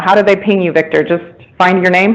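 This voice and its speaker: This woman has a medium-pitched voice. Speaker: strengths coach. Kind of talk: talk to a meetup group. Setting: room with audience, phone listeners. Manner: loud.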